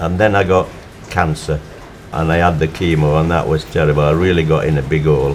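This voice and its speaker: Noticeable background noise surrounds a man with a Yorkshire accent. His very deep, low voice moves at a fairly quick pace with fairly even intonation. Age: 80s+. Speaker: motorcyclist. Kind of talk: interview testimony.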